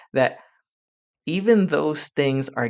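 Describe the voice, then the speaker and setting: A man's voice comes through dry and close with no echo, over a quiet background. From Puerto Rican community in the US. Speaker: language advocate. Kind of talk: podcast conversation. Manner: frequent repetitions and restarts.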